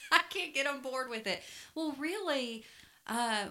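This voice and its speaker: A woman speaks with a Southern US accent at a fairly slow pace. Her tone is bright and sharp. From US South. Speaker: podcast co-host. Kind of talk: casual chat. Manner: warm, chatty.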